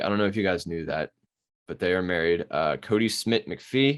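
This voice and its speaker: In a Baltimore accent, the speech moves at a moderate pace. The intonation is lively. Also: man. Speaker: podcast co-host. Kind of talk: casual chat. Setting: video call.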